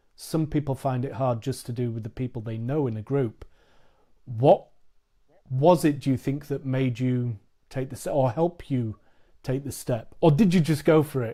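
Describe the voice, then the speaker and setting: A man speaks with a British accent at a moderate pace and medium pitch. His tone is dark and mellow, somewhat breathy, with ordinary pitch variation. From England. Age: 40s. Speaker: podcast host. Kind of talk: casual chat.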